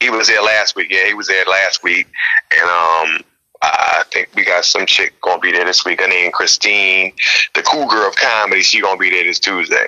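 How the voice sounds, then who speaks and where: A man with an American accent talks at a moderate pace in a dry, close recording with no echo. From Newark, New Jersey. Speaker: comedian. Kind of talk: casual interview. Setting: radio show.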